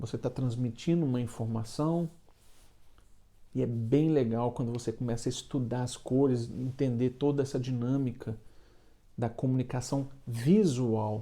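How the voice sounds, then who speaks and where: Speaking with a Minas Gerais accent, a man uses a medium pitch and fairly even intonation. His tone is dark and mellow, broken by long, frequent pauses. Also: fairly slow pace. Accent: mineiro (Minas Gerais) Brazilian Portuguese. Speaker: baker and online business coach. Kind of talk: casual motivational talk to camera. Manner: halting, with frequent filler repetitions.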